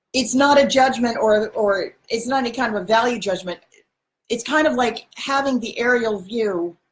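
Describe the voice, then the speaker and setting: A fairly high-pitched woman's voice at a moderate pace, with ordinary pitch variation. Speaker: spiritual channel host. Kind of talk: livestream monologue. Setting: livestream. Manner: halting; loud.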